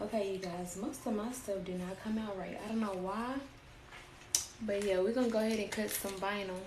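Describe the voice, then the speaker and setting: Soft-spoken and at a medium pitch, a woman talks at a fairly quick pace with fairly even intonation, amid audible room echo and noticeable background noise. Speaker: crafter and small business owner. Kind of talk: live-stream tutorial. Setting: live stream. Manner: casual.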